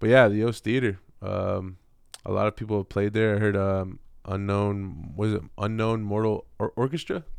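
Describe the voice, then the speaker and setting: Against a quiet background, a man talks in a normal speaking voice at a moderate pace. His pitch is fairly low, with ordinary pitch variation. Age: 30s. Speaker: hip-hop artist. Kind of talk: casual chat.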